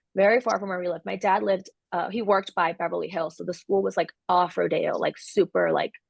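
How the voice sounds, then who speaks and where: Speaking at a very fast pace with hardly any pauses, a woman talks in a Californian accent. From Los Angeles, San Fernando Valley; early childhood in El Salvador. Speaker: coffee entrepreneur. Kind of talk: interview. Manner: casual, frequent 'like' and 'um'.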